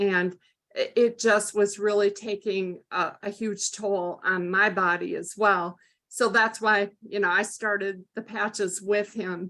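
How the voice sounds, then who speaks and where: Her tone bright and sharp, a woman speaks fairly slowly at a medium pitch, with monotone, flat intonation. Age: 60s. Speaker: mother giving a product testimonial. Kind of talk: testimony. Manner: hesitant with many fillers.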